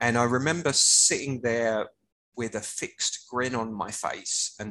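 A man talks at a fairly slow pace with a southern English accent. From Hertfordshire, England. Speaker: music rights professional. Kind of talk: casual chat.

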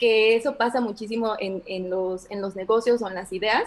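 This woman has a normal speaking voice with a fairly high pitch. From Mexico, Orizaba (Veracruz). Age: 30s. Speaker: business consultant. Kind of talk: casual interview.

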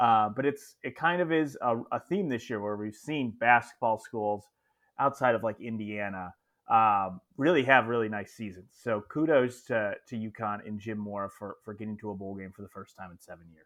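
A man's plain, everyday voice, medium-pitched, at a moderate pace with ordinary pitch variation and big swings in loudness. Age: 20s. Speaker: college football podcast co-host. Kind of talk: casual sports chat.

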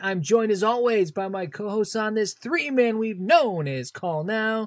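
A man speaks in an upbeat tone. His pace is moderate. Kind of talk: infomercial-parody host patter, mock pitchman welcome. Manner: tongue-in-cheek, upbeat and showy, ham-it-up salesman delivery.

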